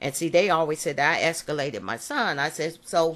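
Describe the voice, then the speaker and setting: Against a quiet background, a woman talks at a moderate pace with a fairly low pitch. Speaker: parent advocate. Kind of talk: personal monologue recording. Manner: animated.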